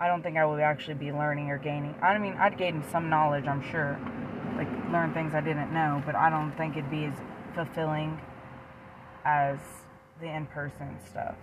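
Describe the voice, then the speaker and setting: With an American accent, the speaker talks in a monotone, flat way at a moderate pace, with long, frequent pauses and noticeable background noise. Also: woman, very deep, low pitch for a woman. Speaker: podcast co-host. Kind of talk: casual chat.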